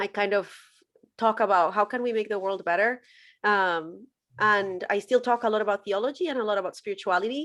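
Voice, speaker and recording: A woman's voice in a Spanish accent, medium in pitch with ordinary pitch variation, at a fairly quick pace on a very clean recording with a silent background. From Colombia. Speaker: former church worker turned social media commentator on faith. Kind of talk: podcast interview.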